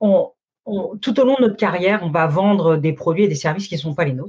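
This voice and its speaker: Ordinary pitch variation in a somewhat breathy voice from a woman. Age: 40s. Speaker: sales consultant. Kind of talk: interview. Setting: live stream.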